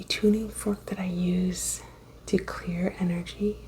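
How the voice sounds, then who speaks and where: A woman is soft-spoken as noticeable background noise continues around her. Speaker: reiki practitioner. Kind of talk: ASMR reiki session.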